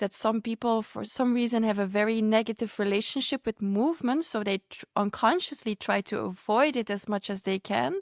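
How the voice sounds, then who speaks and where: A woman with a non-native accent, fairly high in pitch, at a fairly quick pace with hardly any pauses, in a dry, close sound with no echo. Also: ordinary pitch variation. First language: not English. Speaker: podcast host. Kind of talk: podcast conversation.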